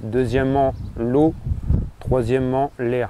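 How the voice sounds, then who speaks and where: A man with a northern French accent at a medium pitch and moderate pace, amid noticeable background noise. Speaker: lawn care enthusiast. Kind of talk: casual tutorial talk to camera. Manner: hesitant, with filler words.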